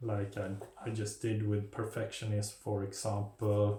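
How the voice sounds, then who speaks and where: A man with a non-native accent speaks very slowly in a fairly low pitch. His tone is dark and mellow, and somewhat breathy. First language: not English. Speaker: mental health video creator. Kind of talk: informal talk to camera. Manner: halting, many fillers.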